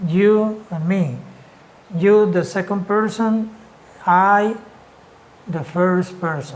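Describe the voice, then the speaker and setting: With a Spanish accent, the speaker talks at a very slow pace, leaving long, frequent pauses. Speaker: English teacher. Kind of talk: lecture.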